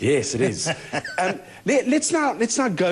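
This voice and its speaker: A man with vocal fry speaks at a fairly slow pace. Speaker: TV interviewer, show host. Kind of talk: TV interview questions.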